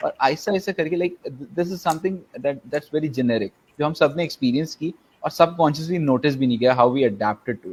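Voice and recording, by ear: Here a man talks at a very fast pace with ordinary pitch variation. His tone is slightly mellow with a slightly husky edge.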